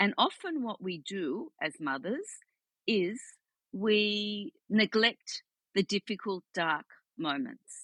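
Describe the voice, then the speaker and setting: A woman with an Australian accent at medium pitch, very wide pitch swings, a very slow pace with long, frequent pauses, in a dry, close sound with no echo. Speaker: psychotherapist. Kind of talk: interview.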